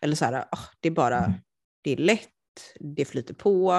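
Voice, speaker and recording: Lively intonation runs through a voice marked by vocal fry. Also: woman. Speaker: podcast co-host. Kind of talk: casual chat. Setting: lying on a sofa at home.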